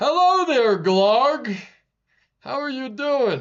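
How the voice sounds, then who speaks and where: A put-on character voice speaks at a high pitch. The delivery is very slow. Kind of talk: friendly greeting.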